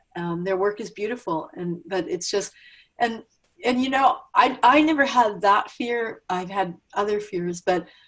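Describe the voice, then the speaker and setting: In an unremarkable speaking voice, a woman talks at a fairly slow pace with a medium pitch and lively intonation. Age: 60s. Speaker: interview host. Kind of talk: interview conversation.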